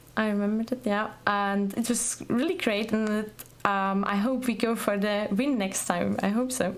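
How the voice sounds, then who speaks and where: Noticeable background noise sits behind a woman's fairly high voice. She keeps a moderate pace, fairly even intonation and very even loudness. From Austria. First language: German. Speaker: streamer and competitive gamer. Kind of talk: podcast interview. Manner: halting.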